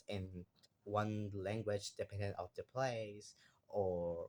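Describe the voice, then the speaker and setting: A man speaks in a Spanish accent at a very slow pace. His pitch is fairly low and his intonation fairly even. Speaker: university student. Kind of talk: class assignment monologue. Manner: halting.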